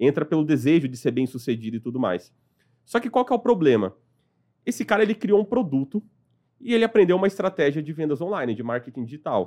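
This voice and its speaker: A man talks at a very fast pace with very wide pitch swings. His voice is fairly high, dark and mellow, over a quiet background. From São Paulo, Brazil (partly raised in Piauí). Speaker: company revenue director. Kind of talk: interview conversation.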